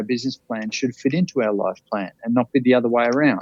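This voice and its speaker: A man speaks at medium pitch with an Australian accent. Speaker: life coach, bucket list speaker. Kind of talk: podcast interview answer. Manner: energetic, passionate.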